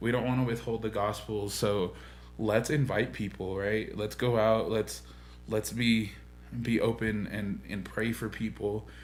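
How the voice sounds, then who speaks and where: Music in the background behind a man's fairly low voice, fairly slow pace, ordinary pitch variation. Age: 20s. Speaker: church podcast host. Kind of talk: casual chat. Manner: animated.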